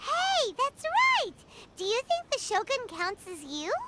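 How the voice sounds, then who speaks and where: A put-on character voice sounds bubbly and squeaky at an extremely high pitch. It moves along at a fairly slow pace. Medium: video game. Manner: bubbly, chatty; talks about herself in third person.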